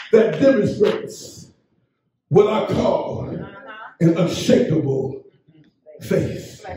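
A man speaks very slowly, his pitch swinging very widely. There is audible room echo and light background noise. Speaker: pastor, Baptist church bishop. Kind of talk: funeral eulogy sermon. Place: church.

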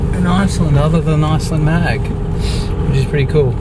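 A man speaks over loud background noise. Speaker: travel vlogger. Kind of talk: casual vlog chat. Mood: relaxed, joking. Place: car. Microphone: phone near.

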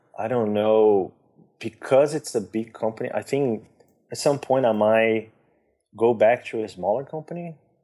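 Medium-pitched male voice with a Brazilian accent, dark and mellow in tone, at a moderate pace with long, frequent pauses, ordinary pitch variation and a quiet background. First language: Portuguese. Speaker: visual effects artist. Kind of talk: casual interview. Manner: talkative.

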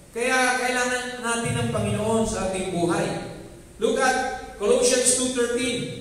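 A man with an extremely high pitch at a moderate pace, in strong room echo. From Philippines. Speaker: pastor. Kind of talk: sermon, mixing English and Tagalog. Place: church.

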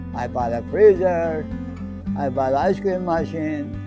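Over clear background music, a man speaks at a very slow pace. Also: dry sound with no echo. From Iran. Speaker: candy store owner. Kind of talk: interview answer. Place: shop.

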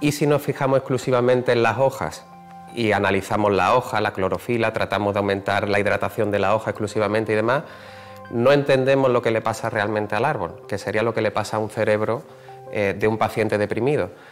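A man at a fairly low pitch and a fairly quick pace, with faint music in the background. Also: ordinary pitch variation. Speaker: professor. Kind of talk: interview answer. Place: hall. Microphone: lapel.

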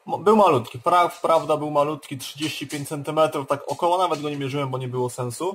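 Fairly slow speech with ordinary pitch variation and light background noise. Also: man. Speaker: vlogger. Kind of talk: casual vlog chat. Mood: cheerful, joking. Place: home room. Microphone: webcam.

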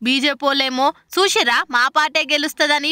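A woman's high voice, bright and sharp in tone, with a dry, close sound and no echo

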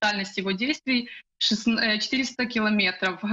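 A woman's normal speaking voice at a fairly high pitch, with ordinary pitch variation and a quiet background. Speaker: news correspondent. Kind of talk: live news report. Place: home room. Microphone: video call.

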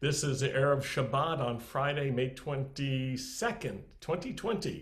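A man speaks in a somewhat breathy voice with ordinary pitch variation. The background is quiet. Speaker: congregation leader hosting online service. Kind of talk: welcome announcements. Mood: warm, smiling. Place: home room. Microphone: webcam.

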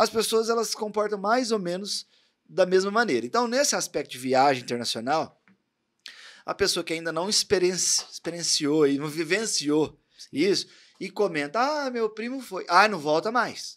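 A man's high, animated voice at a moderate pace, with very wide pitch swings and big shifts in loudness against a quiet background. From Brazil, Barretos, São Paulo state interior; São Paulo state, Brazil. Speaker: podcast host and tattoo artist; podcast host. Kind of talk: casual interview chat; motivational speech. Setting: studio. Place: studio. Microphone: studio mic.

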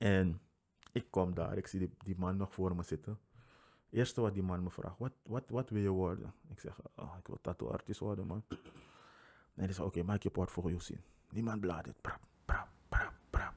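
In a quiet setting, a man with a very deep, low pitch talks with long, frequent pauses. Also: ordinary pitch variation, moderate pace. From Suriname. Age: 20s. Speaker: podcast guest. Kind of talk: casual chat. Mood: relaxed, humorous. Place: home room. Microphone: studio mic.

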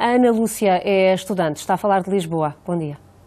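Fairly low-pitched female voice with a dark, mellow tone. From Portugal. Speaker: radio host. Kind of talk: call-in show moderating. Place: studio. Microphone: lapel.

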